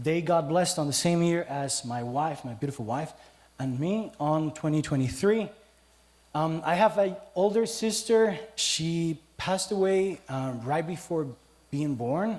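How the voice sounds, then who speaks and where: With a Costa Rican accent, a man speaks at a fairly slow pace with lively intonation. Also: fairly high pitch for a man. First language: Spanish. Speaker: teacher giving a church testimony. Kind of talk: church testimony. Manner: casual, humorous.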